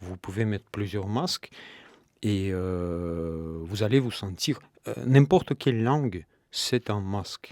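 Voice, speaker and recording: In a dry, close sound with no echo, a man with a Russian accent speaks very slowly at a fairly low pitch. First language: Russian (speaking French). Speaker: novelist. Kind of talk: radio interview. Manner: hesitant, many fillers.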